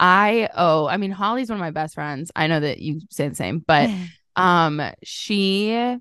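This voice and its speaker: Against a quiet background, a woman with a plain, everyday voice speaks at medium pitch with ordinary pitch variation. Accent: American. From Southern Illinois. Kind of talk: casual interview chat.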